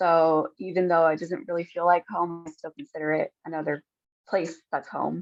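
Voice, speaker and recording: In a normal speaking voice, a woman with an American accent speaks at a moderate pace with fairly low pitch and fairly even intonation. The sound is dry and close, with no echo. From United States. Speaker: panel moderator. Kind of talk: panel discussion.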